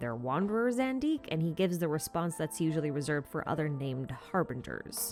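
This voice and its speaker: Over music in the background, a woman talks at a very fast pace with very wide pitch swings. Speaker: video game lore YouTuber. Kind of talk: scripted narration. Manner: animated.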